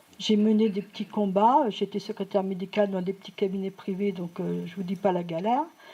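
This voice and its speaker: In a very clean recording with a silent background, a woman with a medium pitch and a dark, mellow tone speaks at a moderate pace with ordinary pitch variation. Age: 60s. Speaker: audience member, retired medical secretary. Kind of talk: audience contribution in public discussion. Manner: halting.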